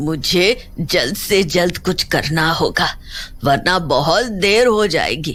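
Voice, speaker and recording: In a cartoonish character voice, the speaker goes at a very slow pace with lively intonation and very even loudness. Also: woman, medium pitch for a woman. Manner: stern, defiant.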